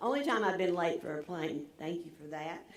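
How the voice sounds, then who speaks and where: A woman's fairly low voice with ordinary pitch variation, audible room echo, and noticeable background noise. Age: 70s. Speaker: commencement speaker, former nonprofit CEO. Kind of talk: commencement address.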